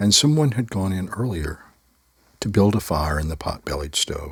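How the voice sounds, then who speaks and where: Speaking at a moderate pace, a man uses a fairly low, somewhat breathy voice with very wide pitch swings. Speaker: storyteller. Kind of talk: personal storytelling. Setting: live online video call.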